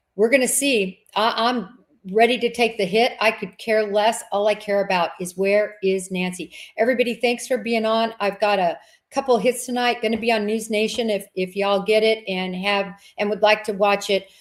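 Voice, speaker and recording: With an American accent, a woman speaks at a moderate pace in a fairly high pitch, her intonation fairly even. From Kansas. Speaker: former FBI agent, true crime podcast host. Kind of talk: casual interview chat.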